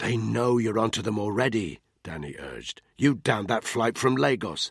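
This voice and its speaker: A man puts on a growling character voice. He keeps a medium pitch and a moderate pace. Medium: read story. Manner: blunt, clipped.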